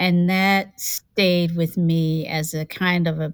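Fairly low in pitch, a woman speaks with an American accent and fairly even intonation. The recording is very clean, with a silent background. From North Carolina and Virginia. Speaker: law professor and mindfulness teacher, author. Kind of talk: interview conversation about racial justice and mindfulness.

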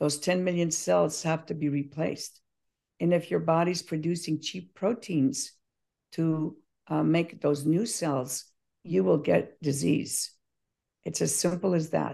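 With a very deep, low pitch and vocal fry, a woman speaks in a dark, mellow tone with ordinary pitch variation and long, frequent pauses. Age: 70s. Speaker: probiotic company founder. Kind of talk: interview.

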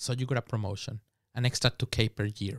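A man speaks at a moderate pace with a Spanish accent, sounding somewhat breathy. The sound is dry and close with no echo, on a very clean recording with a silent background. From Mexico. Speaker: podcast guest. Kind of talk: casual chat.

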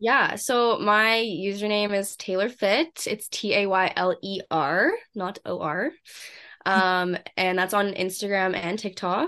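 Speaking at a very slow pace, a woman with a Western Canadian accent has a medium pitch and ordinary pitch variation. Her tone is bright and sharp, and the background is quiet. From Canada, Vancouver. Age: 20s. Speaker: fitness influencer. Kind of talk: casual interview.

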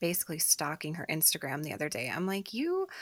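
Recorded very cleanly with a silent background, a woman with a fairly low pitch speaks at a very fast pace. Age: 30s. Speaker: podcast co-host. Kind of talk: casual chat.

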